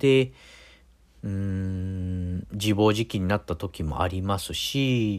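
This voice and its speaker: This recording is very clean, and the background is silent. The man's pitch is fairly low. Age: middle-aged. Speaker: podcast host. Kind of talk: casual monologue. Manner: halting, many fillers.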